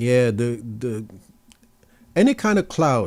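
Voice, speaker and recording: A fairly slow delivery in a Jamaican accent, in a very clean recording with a silent background. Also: man. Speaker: tech youtuber. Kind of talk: live stream Q&A. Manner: casual, conversational.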